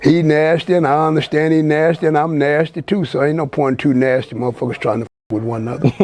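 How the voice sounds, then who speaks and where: With an American accent, a man talks at a fairly quick pace in a fairly high pitch with ordinary pitch variation, over noticeable background noise. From Texas, Fort Worth. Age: 70s. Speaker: community elder. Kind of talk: casual interview.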